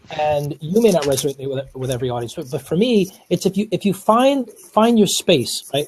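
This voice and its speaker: This man has an American accent and a high pitch, with very wide pitch swings. He speaks at a fairly quick pace, and the sound is dry and close with no echo. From New York. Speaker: speaker. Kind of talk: panel discussion.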